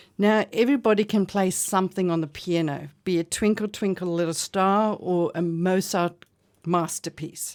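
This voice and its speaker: A woman with a South African accent speaks at a moderate pace and medium pitch, her intonation fairly even, on a very clean recording with a silent background. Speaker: bridge club director. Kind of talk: radio interview. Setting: radio studio.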